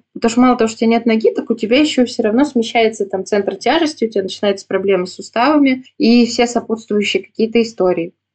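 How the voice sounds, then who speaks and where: This woman's pitch sits fairly high. She talks at a very fast pace. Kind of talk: interview testimony. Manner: calm.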